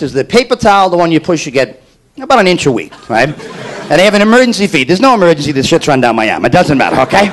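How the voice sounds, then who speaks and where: A man talks at a very fast pace with very wide pitch swings. Noticeable background noise sits behind him. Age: under 50. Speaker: stand-up comedian. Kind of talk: stand-up.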